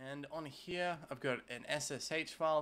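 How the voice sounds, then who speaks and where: This is a man speaking with an Australian accent. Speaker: tech YouTuber. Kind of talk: tutorial. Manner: casual with frequent filler 'uh'. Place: home room.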